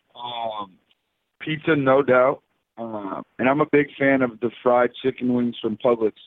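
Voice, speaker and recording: The speaker has a plain, everyday voice. Delivery is fairly slow, with fairly even intonation. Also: man, medium pitch for a man. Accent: American. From South Florida. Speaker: professional baseball player. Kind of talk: interview.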